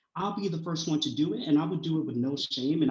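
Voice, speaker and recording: This man talks very fast in a somewhat breathy voice, with ordinary pitch variation. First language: not English. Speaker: college student. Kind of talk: panel discussion.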